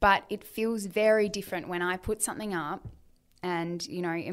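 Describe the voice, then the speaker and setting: Recorded very cleanly against a silent background, a woman at medium pitch speaks in a flat monotone. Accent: Australian. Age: 30s. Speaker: author and influencer. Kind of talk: casual interview chat.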